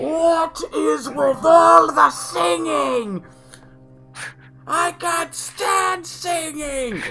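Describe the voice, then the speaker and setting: Shouting in a high-pitched put-on character voice, the speaker goes at a very slow pace. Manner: screaming, angry.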